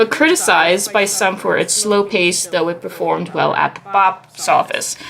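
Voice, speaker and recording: Over noticeable background noise, a woman speaks at a fairly slow pace in a medium pitch with ordinary pitch variation. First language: not English. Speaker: podcast host. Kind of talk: casual chat. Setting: live stream. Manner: halting.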